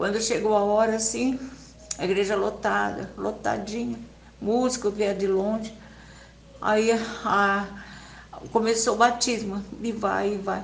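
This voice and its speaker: Through noticeable background noise, a woman with a fairly high pitch talks at a fairly slow pace in a flat monotone, leaving long, frequent pauses. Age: 80s+. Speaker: church member giving a religious testimony. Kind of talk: personal religious testimony.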